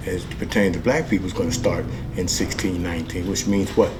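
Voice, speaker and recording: Against noticeable background noise and audible room echo, a man talks at a fairly low pitch. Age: 60s. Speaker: history educator. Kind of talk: educational presentation. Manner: halting.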